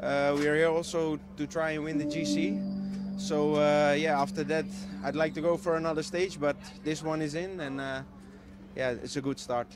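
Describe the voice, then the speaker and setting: A man at a moderate pace with ordinary pitch variation, dry sound with no echo and clear music in the background. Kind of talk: interview answer. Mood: happy, relaxed after win. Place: street. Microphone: handheld.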